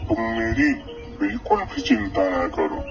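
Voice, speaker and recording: Faint music sits behind a man doing a cartoonish character voice. He keeps a moderate pace. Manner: gentle, trusting.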